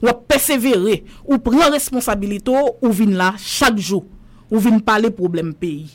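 Lively intonation marks an unremarkable speaking voice delivered at a fairly slow pace. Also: woman, fairly high pitch for a woman. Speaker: journalist. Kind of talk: casual chat.

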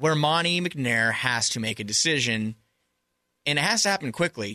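A man with an American accent speaks at a fairly high pitch in a bright, sharp tone, with very wide pitch swings. The sound is dry and close, with no echo. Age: 20s. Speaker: sports podcast co-host. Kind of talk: casual chat. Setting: studio.

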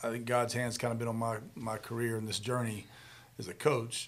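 A man with an American accent speaks at a fairly quick pace in a medium-pitched, somewhat breathy voice. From Charlotte, North Carolina. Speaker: football coach. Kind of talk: casual interview.

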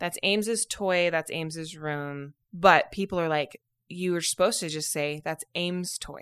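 A woman with a Utah accent speaks at a fairly slow pace and hardly pauses, her fairly low voice holding fairly even intonation. The recording is very clean, with a silent background and a dry, close sound with no echo. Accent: Utah American. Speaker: podcast host. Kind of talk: casual chat.

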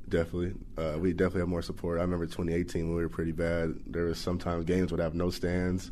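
A man with an American accent speaks at a very fast pace with hardly any pauses, his very deep, low voice dark and mellow, his intonation monotone and flat, his loudness very even, and audible echo in the room. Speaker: college football player. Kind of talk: interview.

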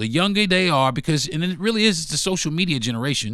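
A man with a bright, sharp tone and an animated delivery speaks at a fairly quick pace, using vocal fry and very wide pitch swings, in a very clean recording with a silent background. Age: 50s. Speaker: podcast host. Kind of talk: casual monologue.

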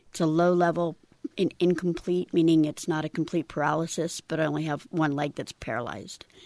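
A woman talks in a normal speaking voice, fairly low in pitch, at a fairly quick pace with fairly even intonation. The sound is dry and close with no echo, against a quiet background. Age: 50s. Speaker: Air Force veteran, wheelchair athlete. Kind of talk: casual interview.

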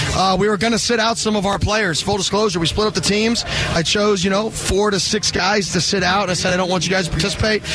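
With an American accent, a man talks at a very fast pace and a high pitch, with hardly any pauses and very even loudness over noticeable background noise. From Arizona, US. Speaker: college football head coach. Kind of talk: interview. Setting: outdoor event broadcast with headset. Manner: animated.

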